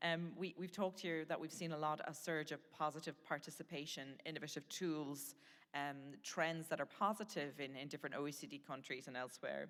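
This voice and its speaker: A woman with an Irish accent, very deep and low in pitch, at a fairly quick pace with ordinary pitch variation. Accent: Irish lilt. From Ireland. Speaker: panel moderator. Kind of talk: panel discussion.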